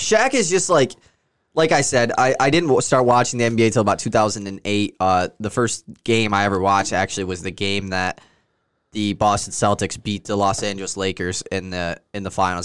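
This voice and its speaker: Recorded very cleanly over a silent background, a man with an ordinary speaking voice talks at a fairly quick pace and a fairly low pitch. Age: 20s. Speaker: sports podcast host. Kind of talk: casual chat.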